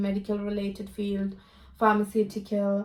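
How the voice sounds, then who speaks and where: A woman with a dark, mellow tone talks at medium pitch and a moderate pace. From India, Kerala. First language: Malayalam. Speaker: international student. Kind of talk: interview.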